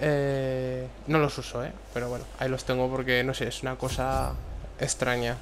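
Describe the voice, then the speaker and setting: A man delivers his words at a moderate pace. The room echoes audibly, and there is noticeable background noise. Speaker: gaming YouTuber. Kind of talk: gameplay commentary. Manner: casual, halting.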